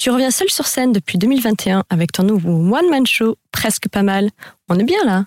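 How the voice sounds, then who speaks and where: A woman talks at a moderate pace with lively intonation. The sound is dry and close, with no echo. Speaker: radio host. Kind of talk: radio interview. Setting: radio studio.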